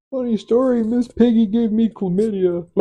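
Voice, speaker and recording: A put-on character voice, fairly high-pitched, at a moderate pace. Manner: distressed, comedic.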